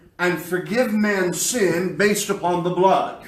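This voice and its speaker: A man's high voice at a very slow pace, with noticeable background noise and audible room echo. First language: English (speaking Spanish). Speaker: pastor. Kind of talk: sermon.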